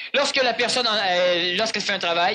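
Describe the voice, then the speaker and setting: A man speaks with high pitch. His pace is fairly quick. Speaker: spiritual lecturer. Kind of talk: lecture with audience Q&A. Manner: fast.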